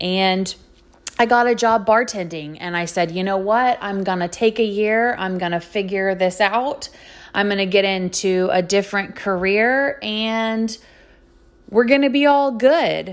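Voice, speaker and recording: A woman's medium-pitched voice with an American accent, ordinary pitch variation and a fairly slow pace. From Texas, Houston area. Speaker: podcast host. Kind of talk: personal monologue.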